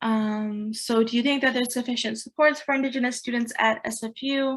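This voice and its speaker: The woman here speaks at a high pitch. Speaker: student union meeting chair. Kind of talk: online committee meeting. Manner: casual, filler-heavy.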